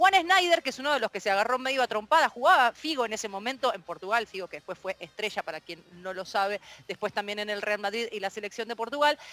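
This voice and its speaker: Talking at a very fast pace with hardly any pauses, a woman has a fairly high pitch and a bright, sharp tone. Her intonation is lively and her loudness swings widely. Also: dry, close sound with no echo. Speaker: radio columnist. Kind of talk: storytelling on radio. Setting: radio program.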